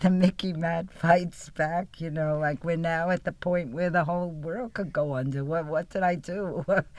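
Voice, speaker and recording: A woman's fairly low voice, with fairly even intonation, a moderate pace and hardly any pauses. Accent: New York. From New York City, the Bronx. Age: 80s+. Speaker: peace activist. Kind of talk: casual chat. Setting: studio.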